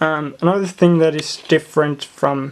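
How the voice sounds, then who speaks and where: Someone with a Swedish accent speaks at a fairly slow pace. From Sweden. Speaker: LEGO hobbyist. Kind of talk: show-and-tell video walkthrough. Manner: halting, many fillers.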